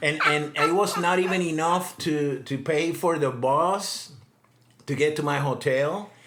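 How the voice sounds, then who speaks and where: A man with a fairly high pitch speaks at a fairly slow pace with fairly even intonation. Noticeable background noise and audible room echo fill the recording. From Puerto Rico. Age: 60s. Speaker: digital nomad, former engineer. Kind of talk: casual interview storytelling. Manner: halting, many repetitions.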